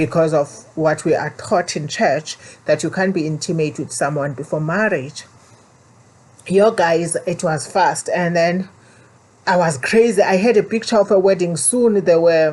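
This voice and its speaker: A woman with a South African accent, fairly low in pitch with ordinary variation, at a moderate pace. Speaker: vlogger. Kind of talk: personal storytelling. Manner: halting.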